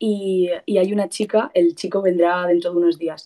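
A woman's dark, mellow tone in a Spanish accent, with fairly even intonation over a quiet background. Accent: Peninsular Spanish. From Spain. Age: young. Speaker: caller seeking advice; caller. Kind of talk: casual chat. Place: home room. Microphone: video call.

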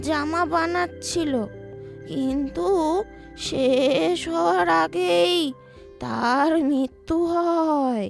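With faint music in the background, a woman puts on a high-pitched character voice, speaking very slowly with very wide pitch swings. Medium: read story.

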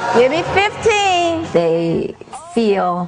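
There is noticeable background noise. Through it, a woman speaks. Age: 70s. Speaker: fitness instructor. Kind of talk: exercise class instruction. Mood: calm, reflective. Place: home room.

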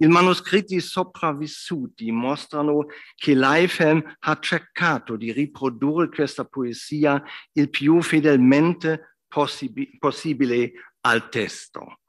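In a German accent, a man talks at a very slow pace with ordinary pitch variation. The background is quiet. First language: German (speaking Italian). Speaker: professor, literary scholar; professor. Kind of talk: lecture. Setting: academy hall with audience. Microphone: video call.

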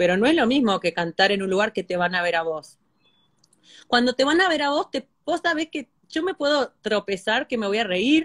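A woman with a fairly high voice speaks at a moderate pace, her pitch swinging very widely, against a quiet background. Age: 30s. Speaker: singer; singer talking with a host. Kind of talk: casual chat. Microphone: phone near.

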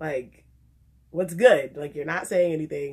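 A woman talks at a moderate pace, her intonation lively. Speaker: vlogger. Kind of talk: casual vlog chat, storytelling. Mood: animated, embarrassed, playful. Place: home room. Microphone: phone near.

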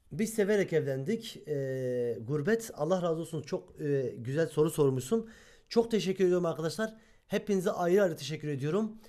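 A man speaks at a moderate pace and a high pitch. His tone is dark and mellow. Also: lively intonation. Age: 20s. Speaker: YouTuber. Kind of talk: casual Q&A chat.

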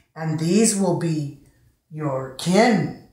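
A woman's fairly low, somewhat breathy voice with an American accent and ordinary pitch variation, audible room echo over a quiet background. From United States. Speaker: storyteller, poet. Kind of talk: poetry reading, live storytelling performance. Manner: rhythmic, playful. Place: home room. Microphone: camera far.

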